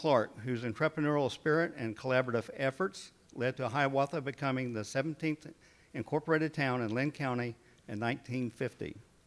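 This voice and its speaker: Speaking at a fairly quick pace in an Oklahoma accent, this man is heard on a very clean recording with a silent background. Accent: Oklahoma Southern. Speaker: city mayor. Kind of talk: public address.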